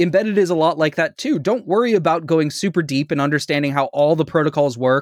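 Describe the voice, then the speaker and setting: A man's fairly high voice at a very fast pace with hardly any pauses, very even loudness and ordinary pitch variation, dry and close with no echo over a quiet background. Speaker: podcast host. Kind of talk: casual chat.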